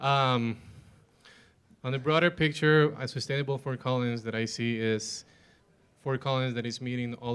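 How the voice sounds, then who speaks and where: A man speaks with a non-native accent at a fairly slow pace. His pitch sits in the medium range. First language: not English. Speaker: panelist. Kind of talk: panel discussion.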